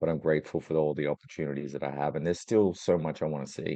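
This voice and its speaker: A man's very deep, low pitch with vocal fry and a dark, mellow tone, fairly even intonation at a very fast pace. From Australia. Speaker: travel industry executive. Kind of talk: interview.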